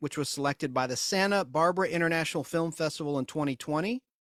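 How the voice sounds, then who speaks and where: Talking at a very fast pace, a man with a slight Southern US accent has a fairly high pitch and ordinary pitch variation. The recording is very clean, with a silent background and a dry, close sound with no echo. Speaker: podcast host. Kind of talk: casual chat.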